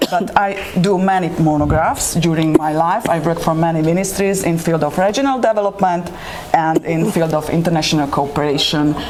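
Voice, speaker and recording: A woman with a Hungarian accent at a fairly quick pace, fairly low in pitch, with ordinary pitch variation and very even loudness, amid noticeable background noise and audible room echo. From Slovakia, Hungarian minority. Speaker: poet and writer. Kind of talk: panel interview. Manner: halting, many hesitations.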